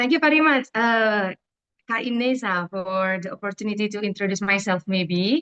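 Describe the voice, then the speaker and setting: In an Indonesian accent, the voice has a bright, sharp tone and moves at a moderate pace, with a dry, close sound and no echo. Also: woman, medium pitch for a woman, ordinary pitch variation. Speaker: event director. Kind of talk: presentation. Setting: video call. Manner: halting.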